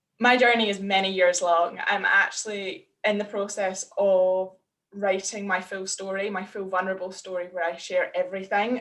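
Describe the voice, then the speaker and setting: With a Scottish accent, a woman talks at a medium pitch. Her intonation is monotone and flat. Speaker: women's confidence coach. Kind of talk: casual interview.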